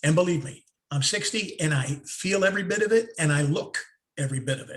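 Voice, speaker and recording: Lively in intonation and fairly quick in pace, a man's speech shows big swings in loudness. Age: 60s. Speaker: former radio host, online show co-host. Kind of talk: casual chat. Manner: halting, repeats words.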